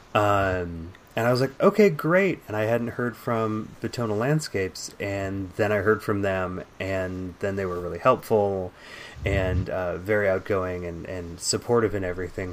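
In an American accent, a man with a normal speaking voice talks at a moderate pace, his fairly low pitch showing ordinary variation. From San Francisco Bay Area, California. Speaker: podcast host. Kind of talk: casual chat.

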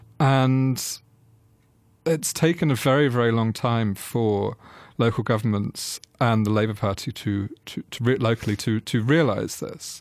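On a very clean recording with a silent background, a man speaks at a fairly slow pace. His pitch is medium, with ordinary pitch variation. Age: 30s. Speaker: culture editor and author on architecture. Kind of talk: interview discussion. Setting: radio studio. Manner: hesitant, repeats words.

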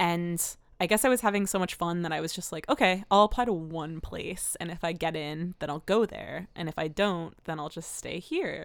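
A woman with an American accent and an unremarkable speaking voice talks at a moderate pace in a fairly low pitch, with ordinary pitch variation and hardly any pauses. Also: very clean recording, silent background. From New Jersey. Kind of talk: casual interview.

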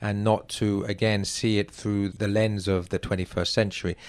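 A man with an English accent, fairly low in pitch, at a moderate pace with fairly even intonation, on a very clean recording with a silent background. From England. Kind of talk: literary discussion interview.

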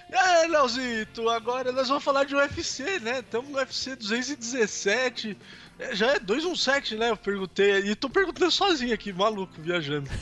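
Projecting his raised voice, a man speaks at an extremely high pitch with lively intonation. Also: fairly slow pace. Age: 30s. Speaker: sports podcast co-host. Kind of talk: casual chat.

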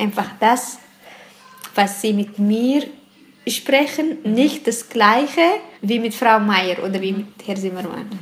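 A woman with a fairly high voice and ordinary pitch variation speaks at a very slow pace. Long, frequent pauses break her speech amid noticeable background noise. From Eritrea. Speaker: interviewee, parent. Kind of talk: interview testimony.

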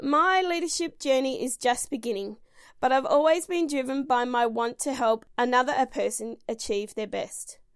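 An Australian accent at a moderate pace, with ordinary pitch variation, in a very clean recording with a silent background. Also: woman, high pitch for a woman. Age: 30s. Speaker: podcast host and swim school owner. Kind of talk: reading aloud; casual monologue.

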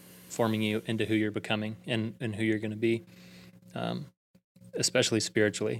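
With a Southern US accent, a man of fairly low pitch talks at a very fast pace in a monotone, flat intonation. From Alabama (Prattville). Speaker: church youth ministry director. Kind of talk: casual interview.

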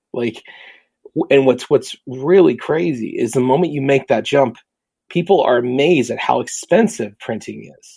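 A man speaks at a moderate pace with a dark, mellow tone and vocal fry. His intonation is lively, and his loudness swings widely. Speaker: print and design professional. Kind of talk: casual interview chat.

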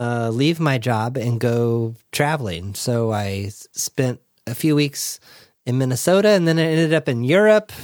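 The man's intonation is lively at a fairly slow pace. The sound is dry and close, with no echo. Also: very clean recording, silent background. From US, Southern California (Orange County). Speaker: life coach and podcast host. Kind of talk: interview, casual conversation.

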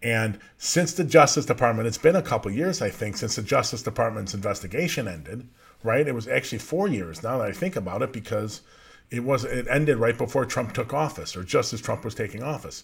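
Somewhat breathy, a man at medium pitch with an American accent speaks at a fairly quick pace with lively intonation. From Chicago area. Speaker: podcast host, justice transparency advocate. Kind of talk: casual commentary show.

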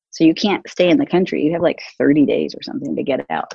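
A woman with an American accent speaks very fast in a very deep, low voice with vocal fry. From San Francisco, US. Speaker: corporate CEO and author. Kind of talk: interview.

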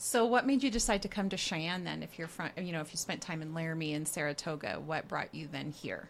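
A woman talks at a fairly quick pace with hardly any pauses, her voice fairly low in pitch. Her intonation is lively, and vocal fry comes through. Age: 40s. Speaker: real estate agent, podcast co-host. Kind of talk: casual chat.

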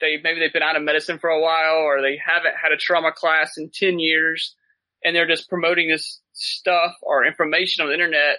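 Speaking with a Southern US accent, a man talks at a fairly quick pace in a fairly high pitch with monotone, flat intonation. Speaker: paramedic and medical gear business owner. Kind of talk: casual chat.

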